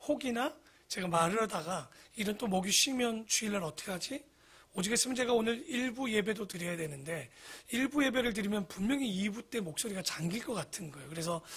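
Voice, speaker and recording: A man's raised, projected voice, high in pitch, very fast, with lively intonation. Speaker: pastor. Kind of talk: sermon. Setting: church.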